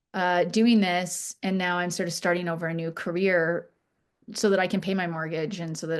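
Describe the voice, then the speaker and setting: Against a quiet background, a woman with a Canadian accent speaks at a fairly quick pace, her pitch fairly low and her intonation fairly even. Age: 50s. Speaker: charity founder. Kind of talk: podcast interview. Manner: halting, many fillers and restarts.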